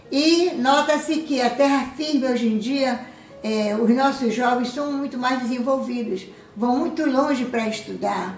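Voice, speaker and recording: Amid noticeable background noise and audible room echo, a woman speaks at a high pitch and a fairly slow pace with ordinary pitch variation. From Belém, Pará, northern Brazil. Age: 70s. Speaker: community resident. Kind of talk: documentary interview.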